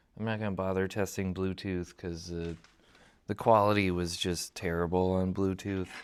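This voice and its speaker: A soft-spoken man talks at a moderate pace. His pitch is very deep and low, his intonation monotone and flat. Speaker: woodturner testing a wireless mic. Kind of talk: casual workshop talk. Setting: workshop at a lathe.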